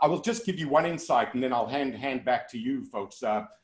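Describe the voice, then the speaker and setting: Speaking with a strong South African accent, a man uses lively intonation at a fairly high pitch. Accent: South African, kept strong. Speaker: motivational keynote speaker. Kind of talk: virtual keynote Q&A. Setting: video call. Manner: loud and articulate.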